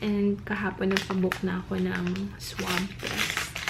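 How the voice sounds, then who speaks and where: A woman whispers at a very slow pace, with audible room echo and noticeable background noise. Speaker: vlogger. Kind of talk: casual vlog talk. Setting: hotel room. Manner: whispering.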